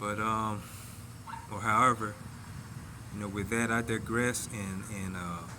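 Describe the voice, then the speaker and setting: A man's fairly low, monotone, flat voice at a fairly slow pace, with long, frequent pauses and audible room echo. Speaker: vlogger sharing personal reflections. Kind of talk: casual monologue. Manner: slow at times; halting, repeated words.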